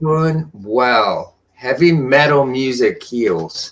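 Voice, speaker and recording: The speech moves at a very slow pace but carries lively intonation. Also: man. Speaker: cannabis livestreamer. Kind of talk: casual chat.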